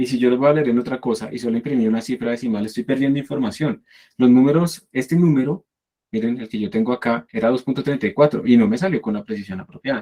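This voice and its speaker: Talking very fast, a man uses a dark, mellow tone with ordinary pitch variation. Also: medium pitch for a man. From Latin America. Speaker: university programming teacher. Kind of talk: online lecture.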